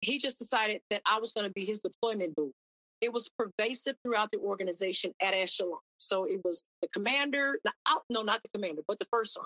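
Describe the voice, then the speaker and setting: In a dry, close sound with no echo, a woman speaks very fast in a fairly high, energetic voice with ordinary pitch variation. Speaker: army chaplain. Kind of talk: testimony.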